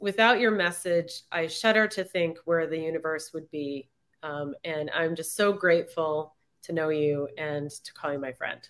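A woman with a normal speaking voice talks at a fairly low pitch and a moderate pace. Her pitch variation is ordinary, while her loudness swings a lot. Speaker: podcast host. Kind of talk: interview conversation.

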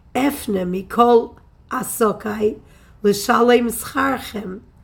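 Audible room echo surrounds a woman with a fairly high pitch. She speaks at a very slow pace with ordinary pitch variation. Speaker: Torah teacher. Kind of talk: religious text lecture. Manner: formal.

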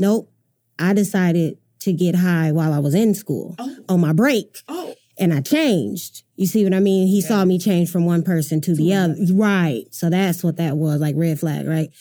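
A woman speaks with an American accent at a moderate pace. Her tone is dark and mellow, with ordinary pitch variation. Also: fairly low pitch for a woman. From Michigan. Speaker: opera singer and performer in recovery. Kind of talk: casual interview.

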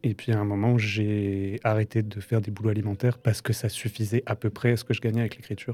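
A man talks at a very fast pace with hardly any pauses, his fairly low, somewhat breathy voice dark and mellow in tone, monotone and flat, in a dry, close sound with no echo. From France, Strasbourg. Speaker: novelist. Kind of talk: interview. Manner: halting, with hesitations.

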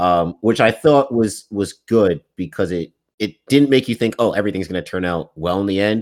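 This man's voice sits at a fairly low pitch, moving at a moderate pace with ordinary pitch variation. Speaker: podcast co-host. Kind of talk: casual sports chat.

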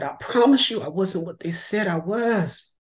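A woman speaks in a somewhat breathy voice at a fairly slow pace. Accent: American. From California. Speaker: novelist. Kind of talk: interview.

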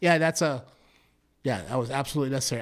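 On a very clean recording with a silent background, a man speaks. He has an American accent and ordinary pitch variation. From Massachusetts. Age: 50s. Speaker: singer-songwriter. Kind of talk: casual chat. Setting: studio. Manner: animated.

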